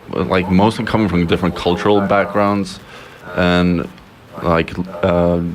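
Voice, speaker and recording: A man with a Swedish accent, very deep and low in pitch, at a fairly slow pace with fairly even intonation, very even loudness, and long, frequent pauses, over noticeable background noise. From Sweden, Stockholm. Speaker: communication student. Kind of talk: casual chat. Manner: halting, many fillers.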